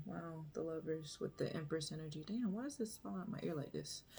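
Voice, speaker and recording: A woman's somewhat breathy voice at a very deep, low pitch. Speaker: tarot reader. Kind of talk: tarot reading. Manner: laid-back.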